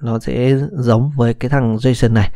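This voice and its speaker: Recorded very cleanly over a silent background, a man with an ordinary speaking voice and medium pitch talks at a fairly slow pace. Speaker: programming instructor. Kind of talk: tutorial. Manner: casual, with many fillers.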